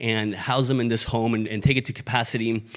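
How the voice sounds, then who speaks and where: On a very clean recording with a silent background, a man with a Spanish accent talks at a moderate pace with fairly even intonation. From Mexico. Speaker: pastor. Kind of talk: sermon.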